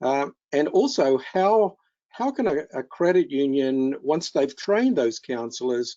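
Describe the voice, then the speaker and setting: This man has an Australian accent and a medium pitch. He speaks at a fairly slow pace. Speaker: keynote speaker, financial counselling trainer. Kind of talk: webinar presentation. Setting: online webinar. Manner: halting with many fillers.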